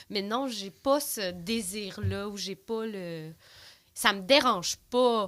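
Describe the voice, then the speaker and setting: At a very slow pace, a woman talks in a medium pitch with ordinary pitch variation and big swings in loudness. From Quebec, Rivière-du-Loup. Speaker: podcast guest, regional development worker. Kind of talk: casual interview chat. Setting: podcast studio.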